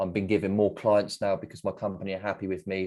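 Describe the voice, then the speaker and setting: This man has a fairly low-pitched voice. He talks with an English accent. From England. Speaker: English teacher. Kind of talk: job interview. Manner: hesitant, with fillers.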